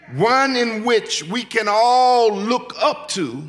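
Using a raised, projected voice, a man speaks at a very slow pace. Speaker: pastor. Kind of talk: sermon. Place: church. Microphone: podium.

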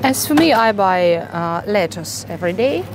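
A woman speaks with a Russian accent at a fairly low pitch, her voice making very wide pitch swings. Noticeable background noise runs behind her. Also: dry sound with no echo. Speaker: vlogger. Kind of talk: vlog, casual store tour. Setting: supermarket, in store. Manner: quiet, calm; conversational, friendly. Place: shop. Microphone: phone near.

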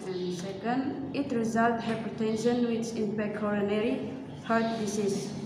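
The speaking is at a fairly slow pace, with audible room echo and noticeable background noise. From Indonesia. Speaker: nursing student. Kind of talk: reading aloud in English class. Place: classroom. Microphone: camera far.

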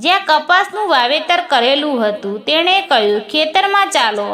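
Against noticeable background noise, a woman uses a raised, projected voice with lively intonation. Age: 20s. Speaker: storyteller. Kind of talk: scripted narration.

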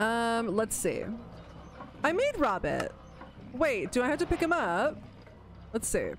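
A woman's animated tone at a fairly slow pace, with long, frequent pauses, very even loudness and music in the background. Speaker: gaming YouTuber. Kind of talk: solo gameplay commentary. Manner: animated, excitable.

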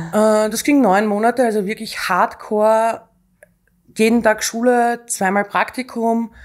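Over a quiet background, a woman speaks at a fairly high pitch and a very slow pace with monotone, flat intonation. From Austria. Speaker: executive assistant; guest. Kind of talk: casual interview. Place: studio. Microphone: studio mic.

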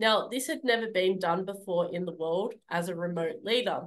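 Against a quiet background, a woman with an Australian accent speaks at a moderate pace, with medium pitch and ordinary pitch variation. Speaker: public speaking club leader; speaker. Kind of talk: speech. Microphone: video call.

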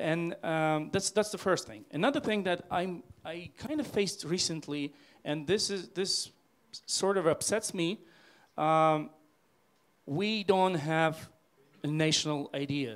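A man speaks in a high voice at a fairly slow pace. His intonation is lively, broken by long, frequent pauses. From Ukraine. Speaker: deputy minister and IT founder; speaker. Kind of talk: panel discussion answer. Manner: halting, hesitant. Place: hall. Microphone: handheld.

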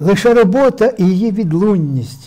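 Pitch swings very widely at a fairly slow pace against a quiet background. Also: man. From Ukraine, Poltava region; Ukraine. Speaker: poet, war veteran; guest. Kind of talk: interview with poetry reading. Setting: studio. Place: studio. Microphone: lapel.

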